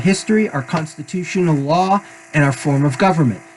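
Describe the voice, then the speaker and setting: A man with an American accent at a very fast pace, ordinary pitch variation throughout. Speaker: political commentator presenting ideas. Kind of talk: monologue reading from slides.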